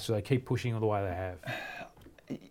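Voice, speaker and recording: On a very clean recording with a silent background, a man with an Australian accent speaks with ordinary pitch variation. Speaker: rugby podcast host. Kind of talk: casual sports chat.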